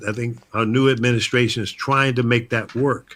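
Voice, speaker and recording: Bright and sharp in tone, a man talks at medium pitch. He has an American accent and keeps a moderate pace. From United States. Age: 70s. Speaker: talk show host, veteran broadcaster. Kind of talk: casual talk show chat. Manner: animated.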